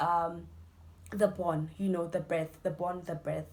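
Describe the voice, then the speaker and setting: This woman speaks with a South African accent. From South Africa, Limpopo. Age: 20s. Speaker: student youtuber. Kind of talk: casual Q&A interview.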